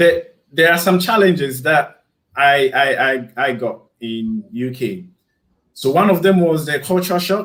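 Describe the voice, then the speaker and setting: A man with a Ghanaian accent speaks at a fairly slow pace in a fairly high pitch. His intonation is lively. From Ghana, Kumasi area. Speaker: YouTuber. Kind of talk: casual chat. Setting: live stream.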